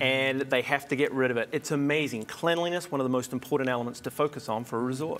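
A man's very fast talk in a New Zealand accent, with fairly even intonation and hardly any pauses. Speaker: hospitality consultant and TV host. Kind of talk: TV interview. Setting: studio. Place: studio. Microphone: lapel.

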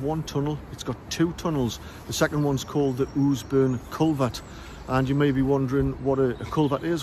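A man speaks fairly quickly with fairly even intonation. The sound is dry with no echo, with light background noise. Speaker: local history guide. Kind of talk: casual explanatory vlog. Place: open country. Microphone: lapel.

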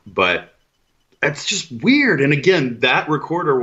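Using vocal fry and very wide pitch swings, a man talks with an American accent. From Texas. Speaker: paranormal podcast host. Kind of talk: casual chat.

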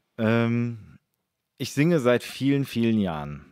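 Recorded dry and close with no echo, a man speaks at a very slow pace and a medium pitch. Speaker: musician and YouTuber. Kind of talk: casual chat.

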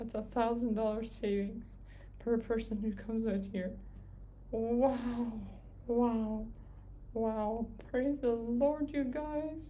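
Noticeable background noise sits behind a woman speaking at a very slow pace. She leaves long, frequent pauses, and her intonation is fairly even. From Canada. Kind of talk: casual livestream update. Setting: live video stream from home. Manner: soft-spoken.

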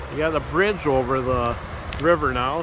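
Recorded dry with no echo but noticeable background noise, a man talks at a moderate pace with ordinary pitch variation. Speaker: vlogger. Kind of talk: casual vlog chat. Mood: pleased, curious. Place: waterside. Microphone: phone near.

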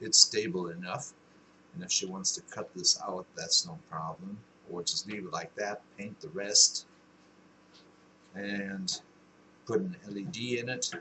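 Light background noise sits behind a man speaking at a fairly slow pace, with big swings in loudness and long, frequent pauses. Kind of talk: casual vlog chat. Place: workshop. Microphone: webcam.

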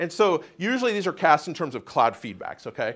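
A man talks at a moderate pace with ordinary pitch variation. His is a normal speaking voice. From US, Oklahoma City. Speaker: atmospheric science professor. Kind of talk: lecture. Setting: stage with audience. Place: classroom.

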